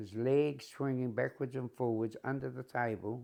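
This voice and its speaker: The background is quiet as a man talks. He has a medium pitch and a moderate pace. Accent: New Zealand. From New Zealand, Wanganui. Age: 80s+. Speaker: retired shepherd telling his life story. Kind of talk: life story interview.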